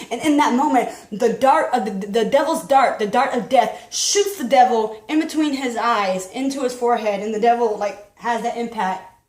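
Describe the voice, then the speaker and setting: Speaking in a high pitch with hardly any pauses, a woman is heard amid audible room echo and noticeable background noise. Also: ordinary pitch variation, moderate pace. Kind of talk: testimony. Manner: halting, repeats words.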